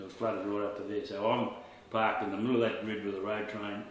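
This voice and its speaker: In an Australian accent, a man speaks at a fairly quick pace and fairly low pitch with flat, monotone intonation. Noticeable background noise and audible room echo are present. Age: 60s. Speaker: opal miner. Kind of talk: casual interview storytelling.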